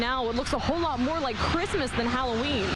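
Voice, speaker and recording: A woman talks fairly quickly with ordinary pitch variation, while noticeable noise sounds in the background. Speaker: TV news reporter. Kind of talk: TV news package narration.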